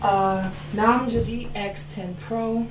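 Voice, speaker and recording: Soft-spoken and at a medium pitch, a woman talks over noticeable background noise with audible room echo. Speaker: YouTube tech reviewer and vlogger. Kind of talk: casual mic test vlog. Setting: at home, walking away from the mic. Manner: voice raised.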